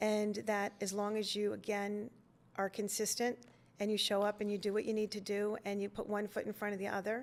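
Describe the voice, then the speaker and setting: This very clean recording has a silent background and a woman at medium pitch. Her intonation is monotone and flat, and her pace is fairly quick. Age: 60s. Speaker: mortgage company owner. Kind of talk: interview conversation.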